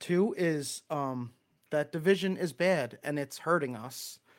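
A man speaks with a Long Island accent. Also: very clean recording, silent background. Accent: Long Island New York. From Long Island, New York. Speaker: church speaker giving a talk. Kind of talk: sermon-style talk. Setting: live stream with chat. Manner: casual, chatty, self-deprecating.

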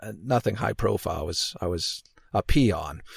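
The voice is somewhat breathy with a Canadian accent. It moves at a moderate pace in a very clean recording with a silent background. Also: man. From Canada. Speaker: podcaster, former archaeologist. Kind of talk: casual interview. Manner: halting, many fillers and repetitions.

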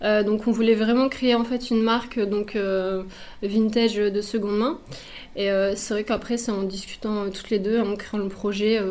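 The voice moves at a moderate pace with monotone, flat intonation, and audible room echo surrounds it. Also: woman. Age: 30s. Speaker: clothing brand founder, pattern maker. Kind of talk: radio interview. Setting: radio studio.

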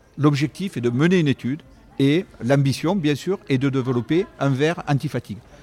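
Speaking at a moderate pace, a man with a fairly high pitch and a dark, mellow tone keeps his loudness very even and his pitch variation ordinary. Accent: southern French. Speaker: company CEO. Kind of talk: interview. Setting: on location at an esports venue.

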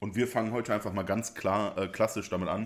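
A man with a fairly low pitch speaks at a moderate pace. His intonation is fairly even, in a very clean recording with a silent background. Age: 20s. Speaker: podcast co-host and streamer. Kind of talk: casual chat. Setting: shared single microphone. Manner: loud.

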